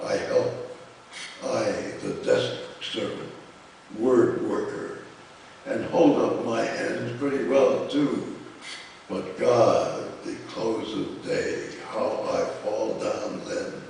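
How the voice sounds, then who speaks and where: A man talks at a very slow pace over noticeable background noise. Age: 80s+. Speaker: poet. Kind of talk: poetry reading. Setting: live reading at a college.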